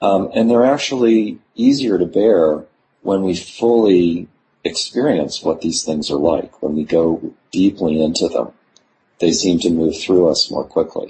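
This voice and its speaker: Very deep and low in pitch, a man's somewhat breathy voice carries lively intonation. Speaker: scholar of well-being and flourishing. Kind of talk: interview conversation. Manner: halting with many fillers.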